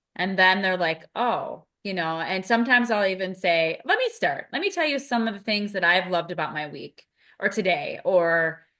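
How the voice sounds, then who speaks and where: Loud, bright, sharp female voice with lively intonation at a moderate pace over a quiet background. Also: medium pitch for a woman. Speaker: podcast co-host, behavior analyst mentor. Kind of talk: casual podcast conversation.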